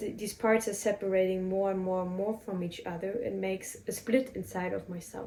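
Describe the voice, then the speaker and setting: In a German accent, a woman talks at a fairly quick pace with hardly any pauses. Her intonation is fairly even, and background noise is noticeable. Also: medium pitch for a woman. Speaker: spiritual podcaster. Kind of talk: personal reflective monologue. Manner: halting.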